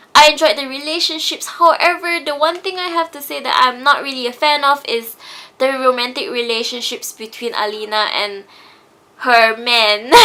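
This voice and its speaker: Speaking at a moderate pace, a woman raises and projects her high-pitched voice. Her intonation is lively, with big swings in loudness. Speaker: book reviewer. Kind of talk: casual book review to camera.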